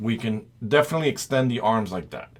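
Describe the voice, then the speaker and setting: A man with a non-native accent speaks at a moderate pace in a medium-pitched voice with lively intonation. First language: not English. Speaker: toy reviewer. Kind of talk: product review.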